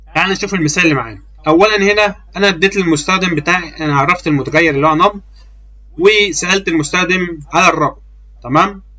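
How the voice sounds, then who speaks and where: A man with an Egyptian accent talks at a fairly quick pace. His voice is high, with ordinary pitch variation. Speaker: programming teacher. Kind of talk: tutorial. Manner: casual; halting.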